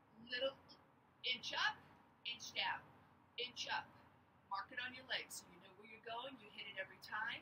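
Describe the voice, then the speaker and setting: A woman speaks in a high pitch at a moderate pace. Noticeable background noise runs underneath. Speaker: fitness instructor. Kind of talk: workout coaching cues. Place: open country.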